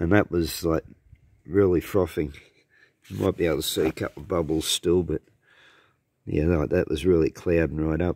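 Against a quiet background with a dry sound and no echo, a man with a very deep, low pitch talks at a moderate pace with fairly even intonation. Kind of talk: casual vlog chat. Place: garden. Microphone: phone near.

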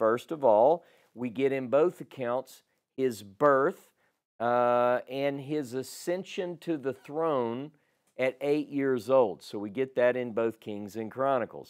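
Very slow speech from a man, ordinary pitch variation, quiet background. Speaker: bible teacher. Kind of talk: lecture. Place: home room. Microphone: lapel.

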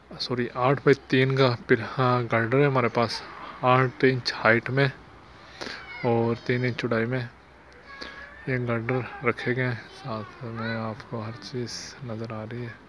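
A man's fairly bright voice moves at a fairly slow pace with little pitch movement. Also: medium pitch for a man.

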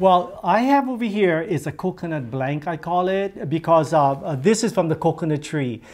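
A man with a high voice and lively intonation talks at a moderate pace with hardly any pauses. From Hawaii. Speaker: weaver. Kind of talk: demonstration talk. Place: office.

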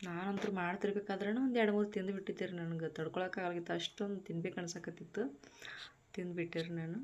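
Medium pitch from a woman with a plain, everyday voice and fairly even intonation. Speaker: vlogger. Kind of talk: casual vlog narration and cooking tutorial. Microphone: no microphone, voice not clear.

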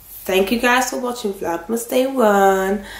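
A raspy, female-sounding put-on character voice with a fairly high pitch moves at a moderate pace with audible echo. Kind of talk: casual vlog chat. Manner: playful.

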